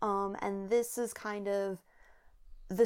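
The recording is very clean and the background silent. In it, a woman talks very slowly. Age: 20s. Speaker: podcast co-host. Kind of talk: casual chat.

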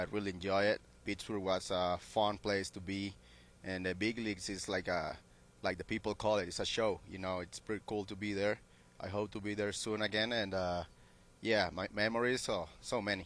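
In a Spanish accent, a man with fairly low pitch talks at a moderate pace in monotone, flat intonation. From Venezuela. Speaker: professional baseball player. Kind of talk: interview. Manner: halting.

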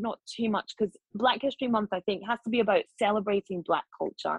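A woman with a Scottish accent speaks at a fairly quick pace. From Scotland, Glasgow. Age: 40s. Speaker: journalist and broadcaster. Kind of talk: casual chat. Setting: video call.

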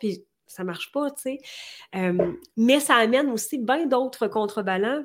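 A woman speaks at a moderate pace and a fairly high pitch, with ordinary pitch variation. The recording is very clean, with a silent background. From Quebec. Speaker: entrepreneur and coach. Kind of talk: interview.

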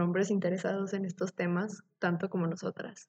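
A woman speaks at a fairly quick pace in a medium-pitched voice. Her tone is dark and mellow and somewhat breathy. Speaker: biotechnology student podcast co-host. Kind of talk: casual chat.

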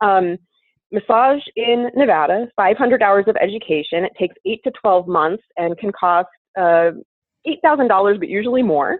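In a plain, everyday voice, a woman talks at a fairly slow pace and medium pitch with lively intonation. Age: 30s. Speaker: massage therapist and esthetician. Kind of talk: casual interview.

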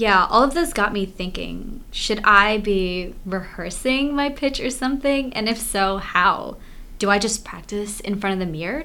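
In a room with audible echo, a woman speaks at a fairly slow pace in a fairly high pitch, her tone bright and sharp and her intonation lively. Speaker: college student co-host. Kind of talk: casual chat.

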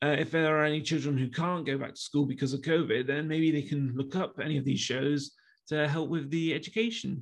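A man talks at a moderate pace in an East Midlands accent. His pitch is fairly high. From Leicester, England. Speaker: YouTuber. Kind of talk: interview.

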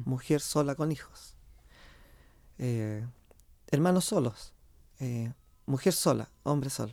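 With long, frequent pauses, a man speaks at a very slow pace, his voice fairly high with a dark, mellow tone and ordinary pitch variation. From central Chile, Quillota. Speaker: folk group director and researcher. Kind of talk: radio interview.

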